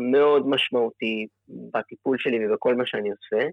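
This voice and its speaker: The man's pace is moderate. He talks in a medium register. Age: 30s. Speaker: cancer patient. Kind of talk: interview. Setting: call from abroad.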